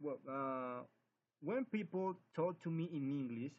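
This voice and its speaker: A man speaks at a very slow pace in a Spanish accent. His pitch swings very widely. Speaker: English language student. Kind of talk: spoken class assignment. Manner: halting.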